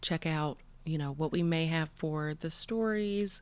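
On a very clean recording with a silent background, a woman with an ordinary speaking voice talks at a moderate pace with a fairly low pitch. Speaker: podcast co-host. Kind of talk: casual chat.

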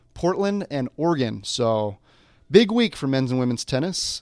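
An ordinary speaking voice with lively intonation at a fairly slow pace. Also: man. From Colorado, Denver area. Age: 20s. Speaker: college basketball player and podcast host. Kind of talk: casual chat.

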